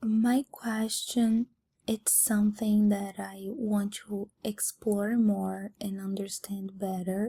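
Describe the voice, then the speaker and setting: A somewhat breathy, dark, mellow voice with a non-native accent, very slow pace and monotone, flat intonation. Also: woman, medium pitch for a woman. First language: not English. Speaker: student. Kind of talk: class presentation. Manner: halting.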